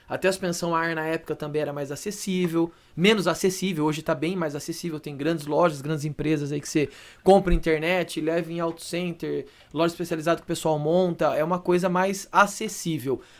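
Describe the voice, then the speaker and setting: A man with a high pitch, a fairly quick pace, and fairly even intonation. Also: very clean recording, silent background. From Brazil, Campinas (São Paulo state). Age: 30s. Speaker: car wrap specialist. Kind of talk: podcast interview. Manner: casual.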